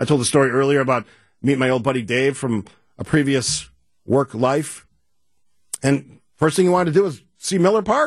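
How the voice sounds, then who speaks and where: A man with a fairly high pitch, lively intonation and an animated tone in an Upper Midwest accent, at a moderate pace with long, frequent pauses against a quiet background. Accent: Upper Midwest American. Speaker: radio talk show host. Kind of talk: radio talk show. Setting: studio.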